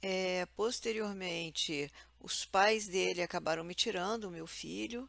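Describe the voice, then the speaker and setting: At a fairly slow pace, a woman speaks with medium pitch. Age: 60s. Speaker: vlogger. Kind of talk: personal testimony. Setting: at home. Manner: halting.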